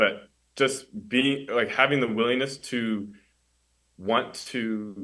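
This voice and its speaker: Very slowly, a man speaks at medium pitch in a bright, sharp tone with ordinary pitch variation. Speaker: college student mentee. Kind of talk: podcast interview. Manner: stutter; halting.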